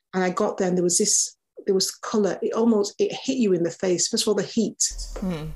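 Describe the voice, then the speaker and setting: Somewhat breathy, a woman speaks at medium pitch and a fairly quick pace. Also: ordinary pitch variation, very even loudness. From Manchester, England, then Nigeria from age 11. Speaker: neonatologist doctor. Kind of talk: interview conversation. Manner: conversational, hesitant with fillers.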